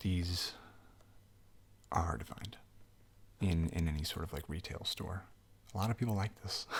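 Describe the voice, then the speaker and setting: Soft-spoken and relaxed in tone, a man talks at a moderate pace in a very deep, low pitch with ordinary pitch variation. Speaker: game shop clerk (role-play). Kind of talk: ASMR role-play, unscripted casual talk to customer. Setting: studio, Blue Yeti microphone. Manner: soft-spoken, relaxed.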